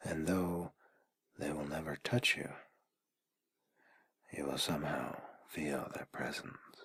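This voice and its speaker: A man's whisper, very slow, with long and frequent pauses. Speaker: ASMR artist. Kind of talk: guided sleep ASMR. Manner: soft-spoken, whispered.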